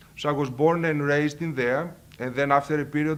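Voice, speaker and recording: A man speaks with a Greek accent at a moderate pace. His intonation is flat and monotone. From Greece, Thessaloniki. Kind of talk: personal testimony. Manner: halting.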